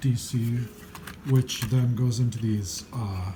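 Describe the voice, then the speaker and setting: Mumbling at a medium pitch, the man has a dark, mellow, somewhat breathy tone with ordinary pitch variation. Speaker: electronics hobbyist, musician. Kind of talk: unscripted repair talk to camera. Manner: mumbling, hesitant.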